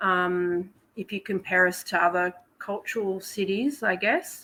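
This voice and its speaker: Her tone is bright and sharp. The woman's pitch sits in the medium range. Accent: Australian. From Australia, Melbourne. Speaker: podcast guest. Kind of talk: casual chat.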